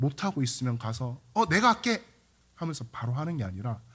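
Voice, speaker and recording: On a very clean recording with a silent background, a somewhat breathy man speaks with very wide pitch swings. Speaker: pastor. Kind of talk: sermon.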